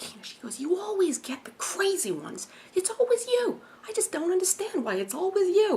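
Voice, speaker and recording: A woman puts on a character voice with a New Jersey accent, pitched extremely high and delivered at a moderate pace. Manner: exasperated, complaining.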